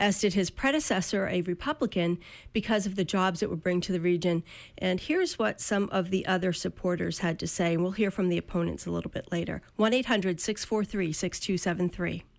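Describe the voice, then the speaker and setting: Over a silent background in a very clean recording, a woman speaks at a moderate pace with an unremarkable speaking voice. Her pitch is medium, with ordinary variation. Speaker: community radio host. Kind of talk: radio news and talk. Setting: radio studio.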